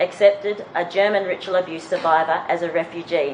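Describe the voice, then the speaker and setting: A woman in an Australian accent talks at a fairly quick pace over noticeable background noise. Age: 40s. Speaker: conference speaker, abuse survivor. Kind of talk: conference presentation. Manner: reading prepared text.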